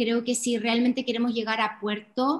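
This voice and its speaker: A woman with a high pitch speaks in a flat monotone. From Chile, Iquique (Tarapacá region). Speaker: podcast co-host. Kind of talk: casual explanatory chat.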